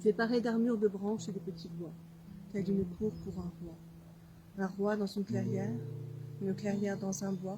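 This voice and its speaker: With noticeable background noise behind her, a woman speaks at medium pitch and a moderate pace. Her pitch varies in an ordinary way, and she leaves long, frequent pauses. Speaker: writer. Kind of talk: poetry reading. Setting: outdoors.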